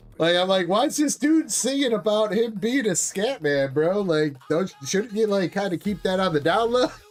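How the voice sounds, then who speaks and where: Through noticeable background noise, a man with a high pitch speaks at a moderate pace, using lively intonation and hardly any pauses. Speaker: live stream host selling trading card packs. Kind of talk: live stream chat. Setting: live stream. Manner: casual, chatty.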